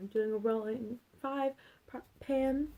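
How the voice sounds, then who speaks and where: A soft-spoken woman talks at a fairly slow pace in a high pitch, her tone dark and mellow. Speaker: beauty vlogger. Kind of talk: casual vlog chat. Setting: at home late at night. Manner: soft-spoken, talking quietly.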